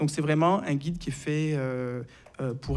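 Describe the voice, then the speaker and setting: A man with a Marseille accent speaks at a fairly slow pace. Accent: French accent from Marseille. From southern France, Marseille. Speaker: psychiatrist and author. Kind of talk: interview. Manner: hesitant, many filler sounds.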